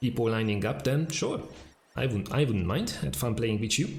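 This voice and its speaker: A man with a strong Hungarian accent speaks at a medium pitch, somewhat breathy. The recording has audible room echo. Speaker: video game streamer. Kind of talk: live gameplay stream chat. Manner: casual, hesitant with fillers.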